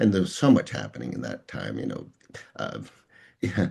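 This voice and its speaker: A man's voice with vocal fry, against a quiet background. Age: 60s. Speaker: executive coach and author. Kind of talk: interview. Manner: halting.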